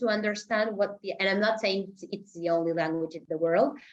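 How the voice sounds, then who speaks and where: A woman talks with a Spanish accent. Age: 30s. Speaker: intellectual property attorney. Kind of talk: podcast interview, casual chat. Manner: animated.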